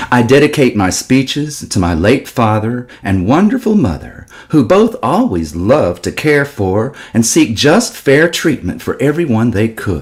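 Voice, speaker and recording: In a slight Texas accent, a man talks at a medium pitch. He speaks at a fairly slow pace with very wide pitch swings. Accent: slight Texas drawl. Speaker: political speaker. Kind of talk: speech.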